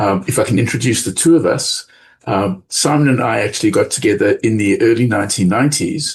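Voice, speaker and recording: In a South African accent, a man speaks at a moderate pace with ordinary pitch variation. His voice is somewhat breathy. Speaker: business school professor. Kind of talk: podcast interview.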